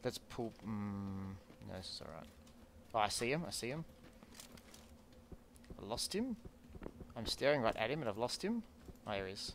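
A man's voice with lively intonation, a moderate pace and long, frequent pauses, over light background noise. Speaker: gamer. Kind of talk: casual gameplay commentary with teammate. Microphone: headset.

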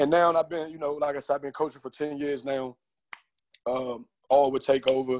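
A man's monotone, flat delivery at a fairly quick pace, broken by long, frequent pauses. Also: quiet background. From Prince George's County, Maryland; Maryland. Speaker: AAU basketball coach. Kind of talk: casual panel discussion. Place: home room. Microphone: earbuds.

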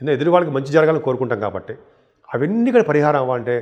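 With a fairly high pitch, the man talks with lively intonation. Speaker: astrologer. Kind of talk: astrology forecast monologue.

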